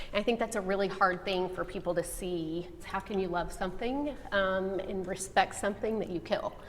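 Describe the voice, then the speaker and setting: At a moderate pace, a woman speaks at medium pitch with a Texan accent. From Texas. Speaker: hunter. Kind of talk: group discussion.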